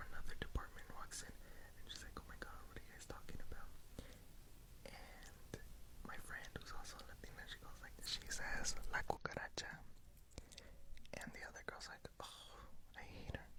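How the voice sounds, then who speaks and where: A man whispering at a moderate pace, with long, frequent pauses. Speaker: ASMR YouTuber. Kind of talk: ASMR whispered rant to camera about work. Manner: whispered, rambling, conversational.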